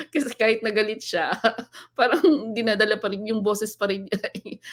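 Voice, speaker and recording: A woman's fairly high voice keeps a moderate pace. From northern Philippines. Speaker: live stream host. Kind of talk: casual live stream chat. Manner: sounds angry even when not.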